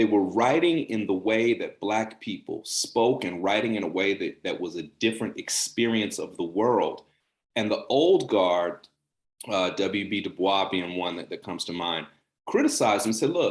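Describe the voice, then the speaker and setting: At a moderate pace, a man talks in an unremarkable speaking voice, fairly low in pitch with ordinary pitch variation. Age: 40s. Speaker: journalist, channel host. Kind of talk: casual interview chat. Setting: video call.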